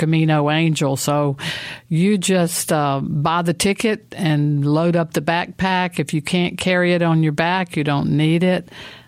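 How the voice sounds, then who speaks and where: A woman with a very deep, low pitch speaks in a monotone, flat intonation at a moderate pace. The recording is very clean, with a silent background. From Mississippi. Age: 60s. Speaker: traveler and pilgrimage trip leader. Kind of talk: interview. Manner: halting, many fillers.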